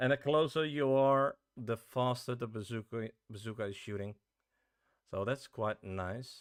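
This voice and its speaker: Here a man speaks with a Dutch accent at a medium pitch and ordinary pitch variation. His fairly slow delivery has a dry, close sound with no echo. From Netherlands. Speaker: game developer streamer. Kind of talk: casual live stream chat. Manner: halting, many fillers.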